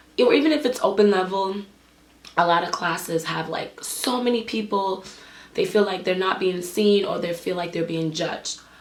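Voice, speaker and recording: Amid noticeable background noise and audible room echo, a woman speaks at a fairly quick pace in a medium pitch with an animated tone and ordinary pitch variation. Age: 20s. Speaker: dance instructor and business owner. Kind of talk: vlog monologue. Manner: casual, animated.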